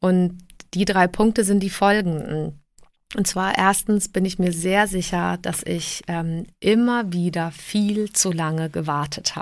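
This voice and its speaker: On a very clean recording with a silent background, a woman with a fairly low pitch talks at a very slow pace with fairly even intonation. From southern Germany (emigrated from Prague at age 7). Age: 40s. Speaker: podcast host. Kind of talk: solo podcast monologue.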